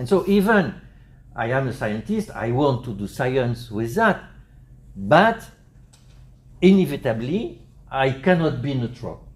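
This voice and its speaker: A man's medium-pitched, somewhat breathy voice with a French accent, fairly slow, with long, frequent pauses, very wide pitch swings and audible room echo. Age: 60s. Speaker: psychiatry professor. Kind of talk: conference lecture. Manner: halting, many fillers.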